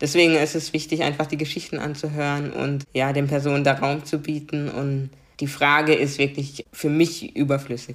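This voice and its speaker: A woman with a very deep, low pitch speaks at a moderate pace with a slight Baden accent. Her intonation is flat and monotone on a very clean recording with a silent background. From Germany, Karlsruhe (Baden). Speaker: diversity coach. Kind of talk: interview.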